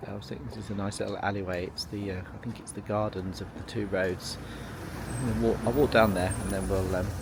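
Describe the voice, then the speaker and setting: A man talks at a very fast pace and a fairly low pitch, with ordinary pitch variation. Noticeable background noise and audible room echo surround his voice. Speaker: travel vlogger. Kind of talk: walking vlog narration. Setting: outdoors, walking streets. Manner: hesitant, many fillers; soft-spoken.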